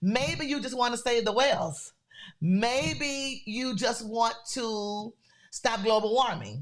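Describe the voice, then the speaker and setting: Speaking in a Louisiana accent, a woman moves at a fairly slow pace with a fairly high pitch, lively intonation and an animated tone in a very clean recording with a silent background. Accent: Southern US (Louisiana). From US South, Louisiana. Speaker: podcast host, creator business coach. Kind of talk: motivational talk.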